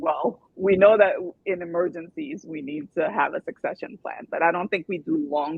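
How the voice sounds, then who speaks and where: Speaking at a moderate pace, a woman with a normal speaking voice uses lively intonation at a fairly low pitch. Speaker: podcast host. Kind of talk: podcast host talk. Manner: upbeat.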